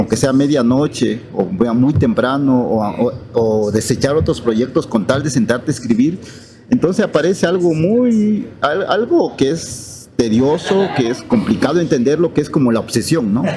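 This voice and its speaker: A man with an Oaxacan accent speaks at a fairly high pitch with hardly any pauses, over noticeable background noise. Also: lively intonation, fairly slow pace, very even loudness. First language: Zapotec (speaking Spanish). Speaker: writer. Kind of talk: interview. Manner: halting, with repetitions.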